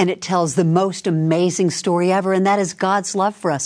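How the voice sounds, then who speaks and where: Here is a woman with an unremarkable speaking voice. She talks at a fairly quick pace and a medium pitch. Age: 60s. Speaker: guest co-host interviewer. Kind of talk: interview conversation.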